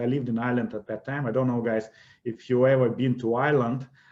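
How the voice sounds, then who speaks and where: Speaking at a fairly quick pace, a man with a Russian accent has a medium pitch and a dark, mellow tone. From Russia, Siberia. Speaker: investment educator. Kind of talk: webinar presentation.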